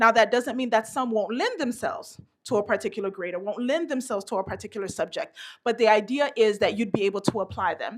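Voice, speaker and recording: The delivery is animated and very fast, with ordinary pitch variation. The recording is very clean, with a silent background. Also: woman. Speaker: education workshop presenter. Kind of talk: professional development seminar. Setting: stage with audience.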